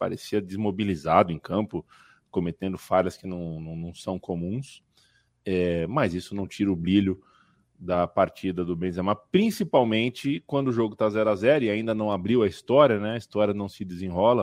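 A plain, everyday voice moves at a moderate pace with ordinary pitch variation and big swings in loudness. The sound is dry and close with no echo, against a quiet background. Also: man, fairly low pitch for a man. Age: 30s. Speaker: football podcast host. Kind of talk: casual chat.

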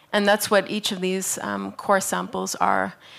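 Medium pitch marks this woman's voice. She speaks with a Canadian accent. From Canada. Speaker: artist. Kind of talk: lecture.

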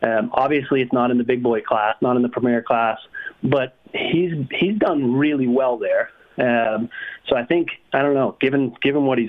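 Over noticeable background noise, a man with an American accent speaks at medium pitch and a moderate pace. His intonation is fairly even and his loudness very even. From New England, US. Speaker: motocross stats specialist. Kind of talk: casual chat.

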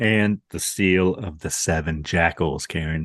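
A man speaks in a very deep, low voice with ordinary pitch variation, recorded dry and close with no echo against a quiet background. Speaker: podcast co-host. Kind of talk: casual chat.

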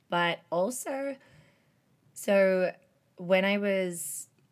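The recording is very clean and the background silent. A woman talks in an Australian accent. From Australia, Melbourne. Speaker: travel program leader. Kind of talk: casual chat.

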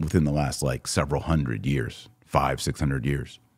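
Vocal fry on a very clean recording with a silent background. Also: man. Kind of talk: casual live commentary. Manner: occasional coughing and throat clearing.

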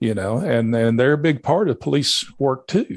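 Against a quiet background, a man speaks at a moderate pace. His medium-pitched voice has lively intonation. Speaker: police chief. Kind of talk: casual interview.

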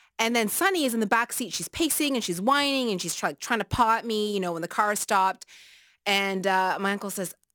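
A woman's medium-pitched, plain, everyday voice, dry and close with no echo, in a very clean recording with a silent background. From Nova Scotia, Canada (Taiwanese family). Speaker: radio host. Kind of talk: radio talk show. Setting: radio studio.

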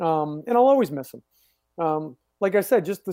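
The voice has a dark, mellow tone and a moderate pace on a very clean recording with a silent background. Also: man. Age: 40s. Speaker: former pro pitcher, TV baseball producer and coach. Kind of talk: casual interview chat. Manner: halting, many repeated words.

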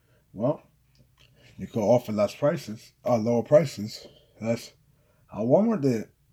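The man's tone is dark and mellow, and somewhat breathy. He keeps a moderate pace broken by long, frequent pauses. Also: medium pitch for a man, ordinary pitch variation. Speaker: podcast host and author. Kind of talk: casual solo podcast monologue. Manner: casual, conversational, mostly unscripted.

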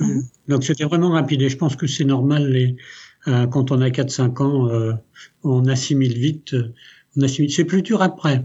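Speaking at a moderate pace with very even loudness, a man with a medium pitch and fairly even intonation sounds somewhat breathy and leaves long, frequent pauses. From France, raised from age 6 by Italian family. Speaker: company CEO. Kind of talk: interview.

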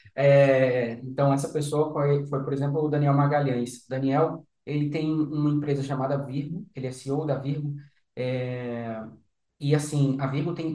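At a moderate pace, this somewhat breathy voice has a dark, mellow tone and fairly even intonation, with audible room echo around it. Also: man. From Recife, Brazil, raised in Brasília. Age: 20s. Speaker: startup founder. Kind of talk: interview.

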